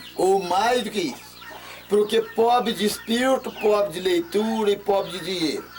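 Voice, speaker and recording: There is noticeable background noise behind a man speaking in a high pitch. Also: ordinary pitch variation, moderate pace. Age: 60s. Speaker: local elder, pioneer settler. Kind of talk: oral history interview. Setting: at home.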